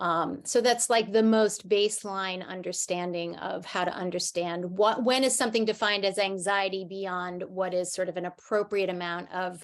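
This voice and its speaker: With hardly any pauses, a woman talks at a moderate pace and medium pitch with fairly even intonation. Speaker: psychologist. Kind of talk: webinar presentation. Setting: video call.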